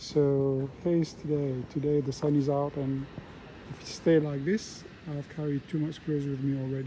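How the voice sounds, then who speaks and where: Soft-spoken, a man talks at a moderate pace with a fairly high pitch. His intonation is monotone and flat. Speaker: travel vlogger, pilgrim walker. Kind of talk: casual walking vlog narration. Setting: outdoors, walking in a town. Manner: halting, many fillers.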